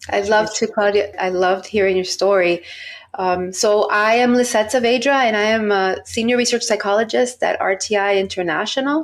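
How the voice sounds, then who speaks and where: Fairly high in pitch with very even loudness, the woman has an unremarkable speaking voice in an American accent. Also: ordinary pitch variation, moderate pace. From Miami, Florida (US). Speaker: research psychologist. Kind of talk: podcast interview.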